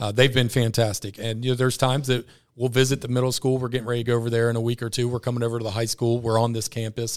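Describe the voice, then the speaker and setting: On a very clean recording with a silent background, the speaker uses an American accent and monotone, flat intonation. The pace is very fast, with hardly any pauses. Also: man, medium pitch for a man. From Ross, Ohio area (Greater Cincinnati). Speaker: school principal. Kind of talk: casual interview. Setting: studio.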